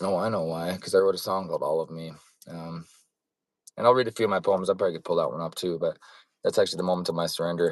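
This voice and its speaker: Against a quiet background, a man with a Western Canadian accent talks at a very fast pace, broken by long, frequent pauses. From western Canada (Alberta, BC Fraser Valley). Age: 40s. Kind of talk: personal testimony monologue. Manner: rambling, jumps back and forth; halting, many fillers and restarts.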